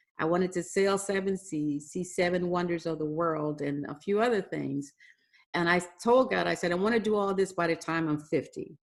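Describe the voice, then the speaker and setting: With a plain, everyday voice, a woman speaks at a moderate pace in a fairly low pitch and ordinary pitch variation. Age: 60s. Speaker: business owner, contractor CEO. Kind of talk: podcast interview.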